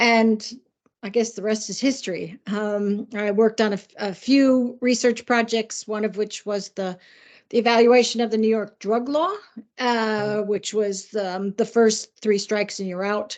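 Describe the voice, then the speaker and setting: In a normal speaking voice, a woman talks at a fairly high pitch and a fairly slow pace with fairly even intonation against a quiet background. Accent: American. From US Midwest. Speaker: criminologist and policing adviser. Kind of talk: interview.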